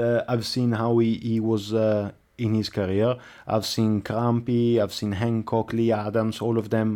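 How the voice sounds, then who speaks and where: A man's medium-pitched voice with an Italian accent, dark and mellow in tone, at a fairly slow pace, with monotone, flat intonation, very even loudness and a quiet background. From Italy. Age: 20s. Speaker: speedway rider. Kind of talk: interview. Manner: halting.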